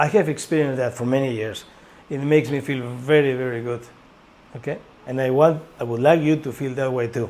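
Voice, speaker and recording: A man with a Spanish accent talks at a fairly quick pace with fairly even intonation. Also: medium pitch for a man. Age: 60s. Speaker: school director and teacher. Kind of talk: informational course presentation.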